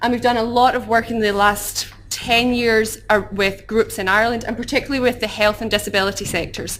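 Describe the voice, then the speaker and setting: A woman with a Glaswegian accent, fairly high-pitched and monotone, flat in intonation, talking at a fairly quick pace with hardly any pauses. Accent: Glaswegian Scottish. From Scotland, Glasgow. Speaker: human rights campaigner. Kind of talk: conference talk. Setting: conference hall with audience. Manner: fast.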